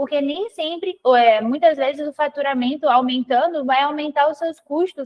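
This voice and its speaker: A woman speaks with a Brazilian accent. Her pitch is high. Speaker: financial consultant. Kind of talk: live webinar presentation.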